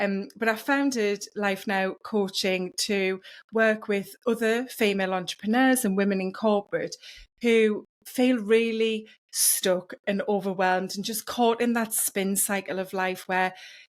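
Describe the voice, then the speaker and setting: A woman with a northeast England accent speaks at a medium pitch and a fairly slow pace with fairly even intonation, on a very clean recording with a silent background. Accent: British, northeast England. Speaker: wellness coach. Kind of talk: podcast interview.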